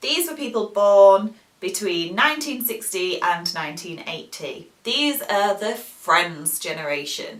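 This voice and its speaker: Lively intonation marks this British accent, heard over noticeable background noise. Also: woman. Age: 30s. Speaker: English teacher. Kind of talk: educational talk to camera.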